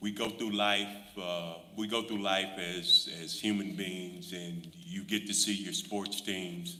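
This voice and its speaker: With noticeable background noise and audible room echo, a man with an American accent speaks at a fairly low pitch and a very slow pace, with ordinary pitch variation. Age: 60s. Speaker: school board member. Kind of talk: board meeting remarks. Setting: school board meeting. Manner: halting, many fillers.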